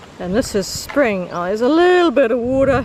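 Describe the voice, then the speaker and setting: The speaker is a woman with a high pitch. Noticeable background noise can be heard. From New Zealand. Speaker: hiker vlogger. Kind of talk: casual vlog narration. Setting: outdoors on a hiking trail. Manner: casual with frequent fillers.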